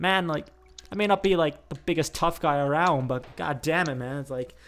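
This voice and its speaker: A man talks in an animated tone at a moderate pace with ordinary pitch variation. Music plays in the background. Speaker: gaming YouTuber. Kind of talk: casual chat while gaming.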